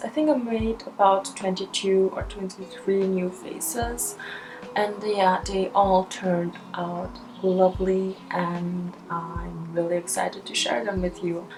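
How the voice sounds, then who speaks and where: Over music in the background, a woman with a German accent speaks at a medium pitch and a fairly slow pace with ordinary pitch variation. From Austria. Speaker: YouTuber and doll-face artist. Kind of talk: casual vlog monologue while crafting. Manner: casual, rambling.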